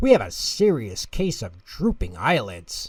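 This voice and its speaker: A man growls in a put-on character voice, captured on a very clean recording with a silent background. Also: moderate pace. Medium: read story.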